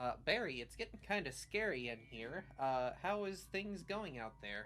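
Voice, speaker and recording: A put-on character voice at a low-to-middle pitch comes through clear background noise. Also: moderate pace. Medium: actual play. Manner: salty, blunt.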